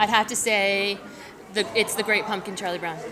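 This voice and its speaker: A woman with an American accent speaks at a moderate pace. Noticeable background noise and audible room echo fill the recording. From northern New Jersey. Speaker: romance novelist. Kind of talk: interview at a book festival. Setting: book festival event.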